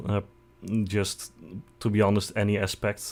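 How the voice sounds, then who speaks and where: A man with a Dutch accent speaks at a fairly low pitch. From Netherlands. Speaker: vtuber streamer. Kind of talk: casual live stream self-introduction.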